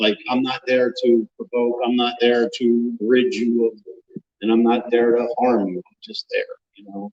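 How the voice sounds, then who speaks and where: In a normal speaking voice, a man at a medium pitch speaks at a fairly slow pace with fairly even intonation and big swings in loudness, in a dry, close sound with no echo. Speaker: paranormal researcher. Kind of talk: live panel talk.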